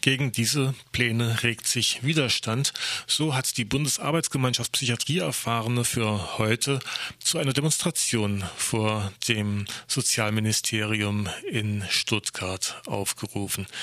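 A man's medium-pitched voice, bright and sharp in tone, very slow, with ordinary pitch variation and very even loudness. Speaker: radio host. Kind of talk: news-style radio moderation.

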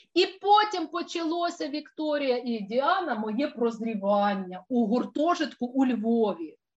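Animated in tone, a woman's high-pitched voice moves through very wide pitch swings. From Russian Far East and Ukraine, military family. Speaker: tour organizer and researcher. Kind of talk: casual chat. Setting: video call.

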